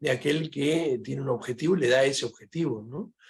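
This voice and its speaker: Somewhat breathy and fairly high-pitched, a man talks with ordinary pitch variation. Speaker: philosophy professor. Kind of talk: panel discussion Q&A. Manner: fast.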